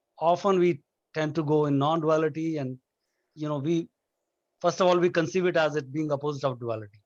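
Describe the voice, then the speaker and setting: With a strong Indian accent, a man speaks at a very fast pace and fairly high pitch, taking long, frequent pauses against a quiet background. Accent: thick Indian. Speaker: nonduality discussion guest. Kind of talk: casual philosophical discussion. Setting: video call. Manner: halting, many restarts.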